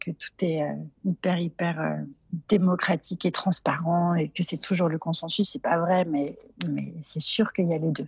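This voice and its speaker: Dry and close with no echo, a woman speaks fairly slowly at a fairly low pitch, her intonation fairly even and her voice somewhat breathy. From Geneva, Paris and southern France. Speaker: entrepreneur. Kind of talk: interview. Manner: hesitant, many repetitions.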